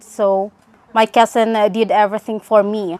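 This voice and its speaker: A woman speaks in a Filipino accent at a fairly slow pace. Her voice sits fairly high in pitch. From Philippines. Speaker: nurse. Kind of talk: testimony. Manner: halting, many fillers.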